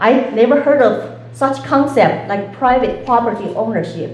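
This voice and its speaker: A woman's high pitch with ordinary pitch variation, plus audible room echo and noticeable background noise. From China. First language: Chinese. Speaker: political candidate. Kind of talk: debate opening statement.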